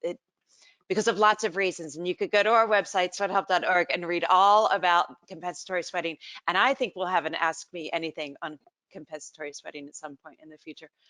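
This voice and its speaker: A woman with an American accent, medium in pitch with ordinary pitch variation, talking at a very fast pace over a quiet background. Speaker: webinar moderator, nonprofit executive director. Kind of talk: live webinar Q&A moderation. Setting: online video webinar.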